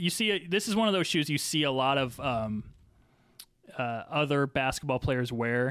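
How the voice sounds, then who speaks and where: A man with a normal speaking voice, fairly high pitch, lively intonation, very even loudness and a moderate pace. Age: 30s. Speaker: sneaker enthusiast guest. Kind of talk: casual chat.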